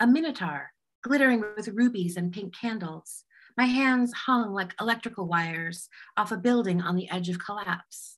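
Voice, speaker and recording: Over a quiet background, a woman with an American accent speaks in a somewhat breathy voice with lively intonation. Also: moderate pace. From Southern California. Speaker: poet. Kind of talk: poetry reading. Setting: video call. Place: home room. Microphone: video call.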